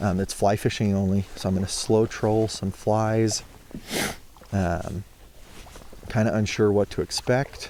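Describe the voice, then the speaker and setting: Over noticeable background noise, a man speaks slowly with a fairly low pitch and monotone, flat intonation. He leaves long, frequent pauses. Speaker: fishing video creator. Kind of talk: casual vlog narration. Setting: outdoors on a lake in a kayak. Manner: casual, hesitant with many fillers.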